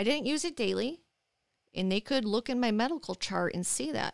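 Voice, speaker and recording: Her voice high, a woman speaks with a Michigan accent and lively intonation in a dry, close sound with no echo. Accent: Midwestern American (Michigan). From Michigan, Dearborn Heights. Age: 40s. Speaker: chronic pain patient and advocate. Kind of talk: interview.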